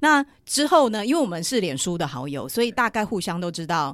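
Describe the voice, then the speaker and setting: A woman with a Taiwanese accent speaks at a moderate pace. Her pitch swings very widely on a very clean recording with a silent background. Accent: Taiwanese Mandarin. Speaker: running cafe founder, entrepreneur. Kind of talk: casual interview chat.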